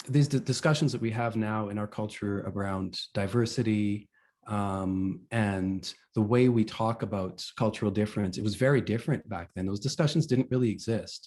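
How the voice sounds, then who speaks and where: The man's pitch is fairly low, with ordinary variation. He keeps a moderate pace against a quiet background. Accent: Canadian. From Western Canada (Vancouver and Calgary). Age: 40s. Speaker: author. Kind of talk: interview. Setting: video call. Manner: hesitant, many fillers.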